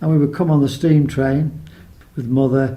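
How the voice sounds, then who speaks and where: The voice has a dark, mellow tone and is somewhat breathy, with a Lancashire accent. Its intonation stays fairly even. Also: man. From northern England, Lancashire. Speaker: local resident. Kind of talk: oral history testimony.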